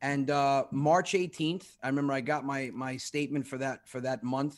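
A man with an unremarkable speaking voice, pitched fairly high, talks at a moderate pace with fairly even intonation on a very clean recording with a silent background. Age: 40s. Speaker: comedian. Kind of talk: casual chat.

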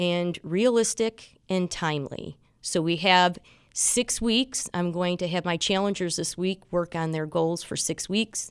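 A woman with a fairly low pitch speaks at a fairly slow pace with ordinary pitch variation, in a plain, everyday voice, on a very clean recording with a silent background. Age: 50s. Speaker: fitness instructor and bodybuilding competitor. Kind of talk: radio interview.

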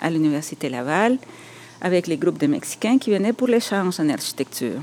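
This voice has a Spanish accent. Its pitch swings very widely. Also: woman. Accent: Spanish-accented French, rolled r. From El Salvador. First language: Spanish (speaking French). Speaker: architect and writer. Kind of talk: personal testimony. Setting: on location in Montreal.

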